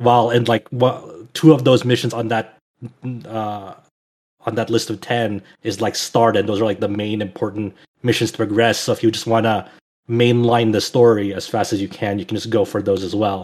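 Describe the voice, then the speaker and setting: This man has an unremarkable speaking voice at medium pitch. He talks at a moderate pace with fairly even intonation. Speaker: podcast co-host. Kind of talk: casual chat. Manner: rambling, filler words.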